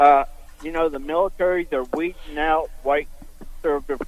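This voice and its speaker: An unremarkable speaking voice moves at a moderate pace. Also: man. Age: 60s. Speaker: caller. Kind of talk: phone-in question.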